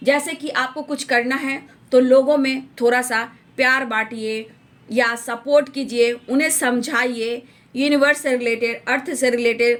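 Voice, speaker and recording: Her voice sits high in pitch. The woman's intonation is monotone and flat. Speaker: tarot reader. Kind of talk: tarot reading.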